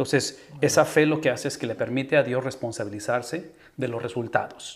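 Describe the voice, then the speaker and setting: A man at a moderate pace with ordinary pitch variation, against a quiet background. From Tamaulipas, Mexico (Ciudad Mante); Tamaulipas, Mexico. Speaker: podcast host, pastor. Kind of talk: interview conversation. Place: home room. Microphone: studio mic.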